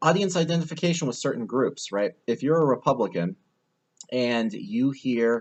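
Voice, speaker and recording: Talking at a fairly quick pace with lively intonation, a man has an unremarkable speaking voice. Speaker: college lecturer. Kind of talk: recorded lecture. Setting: airport.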